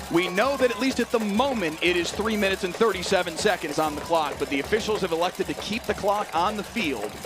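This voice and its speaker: A man with a high pitch at a fairly quick pace, music in the background. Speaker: sports play-by-play announcer. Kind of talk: football play-by-play broadcast demo.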